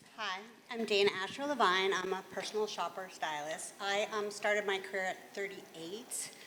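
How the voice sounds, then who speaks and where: A woman with an ordinary speaking voice, ordinary pitch variation, and a moderate pace. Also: medium pitch for a woman. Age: 60s. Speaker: personal stylist. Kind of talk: panel introduction.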